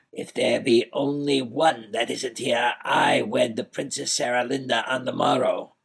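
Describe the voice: Plain reading aloud. Nothing more to it.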